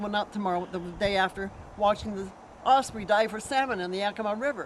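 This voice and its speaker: Over noticeable background noise, a woman talks at a very fast pace in a medium pitch with fairly even intonation. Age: 70s. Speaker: long-time trail rider. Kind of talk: interview.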